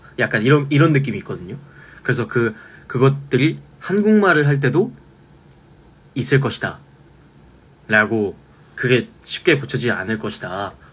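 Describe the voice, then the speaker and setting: A man speaks at a moderate pace in a somewhat breathy, medium-pitched voice, using lively intonation and long, frequent pauses. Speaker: musical theatre actor. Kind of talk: fan Q&A live stream.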